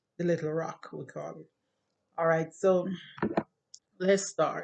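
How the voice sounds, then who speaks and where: Fairly slow, with a slight Jamaican accent, the voice shows big swings in loudness. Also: woman. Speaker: YouTuber. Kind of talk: casual monologue to camera.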